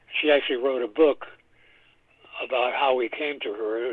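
Over noticeable background noise, a man speaks at a moderate speed with an American accent. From New York City. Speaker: composer. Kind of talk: interview.

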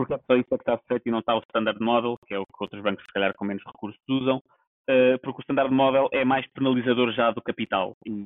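Fairly even intonation marks a man talking at a very fast pace. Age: 30s. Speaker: podcast co-host. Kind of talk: casual chat. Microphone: poor sound quality.

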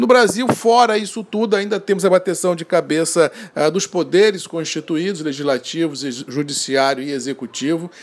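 Over noticeable background noise, a man with a high pitch talks at a moderate pace in an animated tone with lively intonation. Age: 50s. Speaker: coffee market commentator. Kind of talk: daily market and weather bulletin.

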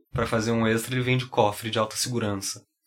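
A man's voice at a medium pitch. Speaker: podcast co-host. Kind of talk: casual chat.

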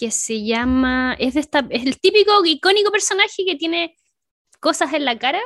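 The sound is dry and close, with no echo. Pitch swings very widely. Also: woman, high pitch for a woman, moderate pace. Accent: Chilean. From Chile. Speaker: cosplayer and streamer. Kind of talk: casual chat.

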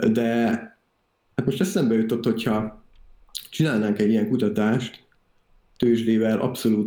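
A man's medium-pitched voice, calm and dark and mellow in tone, at a moderate pace. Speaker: software developer and investing YouTuber. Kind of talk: interview.

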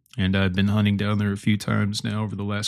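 A man with a Midwestern American accent and a fairly low pitch is heard on a very clean recording with a silent background. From north central Illinois. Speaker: podcast host. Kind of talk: solo reflective monologue. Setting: at home early morning. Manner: halting, many fillers.

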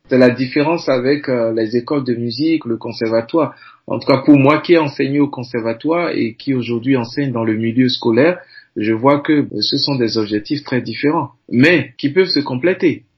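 A somewhat breathy man speaks at a medium pitch with ordinary pitch variation. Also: moderate pace. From Benin. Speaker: music teacher. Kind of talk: interview.

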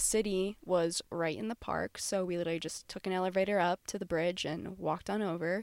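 A woman with an American accent has a normal speaking voice at medium pitch, speaking at a moderate pace with fairly even intonation. The sound is dry and close with no echo, on a very clean recording with a silent background. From Florida. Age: 20s. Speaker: travel podcast co-host. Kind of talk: casual chat.

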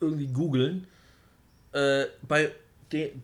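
A man speaks in a fairly high voice. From Germany, Wolfsburg. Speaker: metal podcast host. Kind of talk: casual chat.

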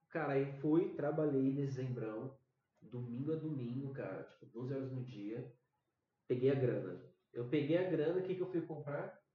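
A man with a normal speaking voice talks at a moderate pace. His pitch is fairly high with ordinary variation. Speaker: podcast co-host. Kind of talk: casual chat.

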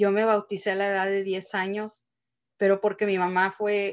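A plain, everyday voice at a fairly slow pace. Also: woman. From Texas, Mexican family from Guanajuato. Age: 30s. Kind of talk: testimony.

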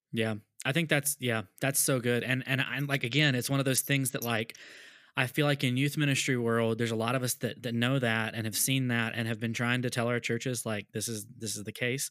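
A man with an American accent and an ordinary speaking voice, medium pitch, fairly even intonation and a fairly quick pace, on a very clean recording with a silent background. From US South. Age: 30s. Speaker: podcast host, youth pastor. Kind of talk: casual interview chat.

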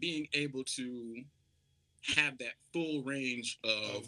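In a South Carolina accent, a man speaks at a very slow pace with a bright, sharp tone and a dry, close sound with no echo. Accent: Southern US (South Carolina). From US South, Charleston, South Carolina. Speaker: R&B soul singer. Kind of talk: casual interview chat.

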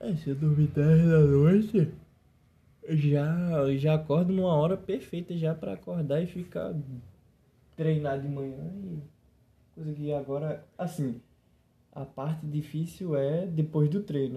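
Fairly high-pitched and dark, mellow in tone, a man speaks at a fairly slow pace with ordinary pitch variation and long, frequent pauses. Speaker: podcast guest. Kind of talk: casual chat. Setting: lying on living room floor at home.

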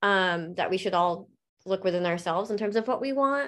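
A woman speaks in a plain, everyday voice at medium pitch. Her pitch varies in an ordinary way over a quiet background. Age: 30s. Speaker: coaching client. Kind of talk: coaching session.

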